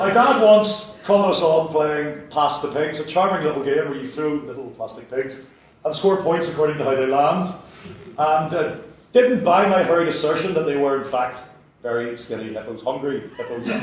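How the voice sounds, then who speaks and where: A man with a Northern Irish accent speaks at a fairly high pitch with lively intonation, with noticeable background noise behind him. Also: moderate pace. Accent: Northern Irish (Belfast). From Belfast, Northern Ireland. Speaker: writer, comedic storyteller. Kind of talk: live comedic spoken-word show. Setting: theatre stage, live audience.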